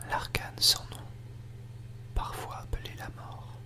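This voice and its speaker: The whispering moves at a very slow pace. Noticeable background noise is present too. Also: man. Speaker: tarot reader. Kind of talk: ASMR guided relaxation narration. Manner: whispered.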